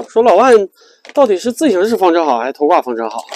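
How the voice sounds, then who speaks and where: Talking at a very fast pace with very wide pitch swings, a man is heard over light background noise in a dry sound with no echo. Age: 40s. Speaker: RV travel vlogger. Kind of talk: casual vlog monologue. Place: car.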